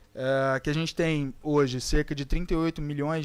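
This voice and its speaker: On a very clean recording with a silent background, a man speaks at a moderate pace in an ordinary speaking voice, his intonation fairly even. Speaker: psychologist and academic debate panelist. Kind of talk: panel debate talk.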